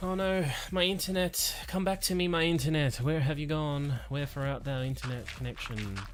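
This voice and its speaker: A man speaks at a moderate pace with a fairly high pitch and ordinary pitch variation, over noticeable background noise and audible room echo. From Australia. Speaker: gaming streamer. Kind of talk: live stream commentary. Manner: casual, rambling.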